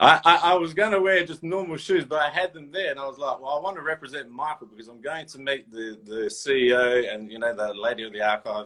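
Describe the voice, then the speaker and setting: A man with an Australian accent and a fairly high pitch, talking at a very fast pace with hardly any pauses and big swings in loudness. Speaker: toy and sneaker collector. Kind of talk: casual interview chat. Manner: animated.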